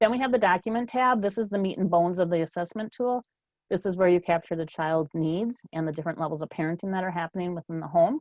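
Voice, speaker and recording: A woman with a fairly low pitch and ordinary pitch variation speaks at a very fast pace. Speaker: state policy specialist presenting a training webinar. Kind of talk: webinar presentation. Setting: webinar.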